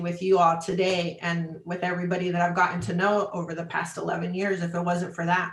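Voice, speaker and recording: A woman's voice with audible room echo. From Chicago, US Midwest. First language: Spanish. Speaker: travel industry business development manager. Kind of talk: interview.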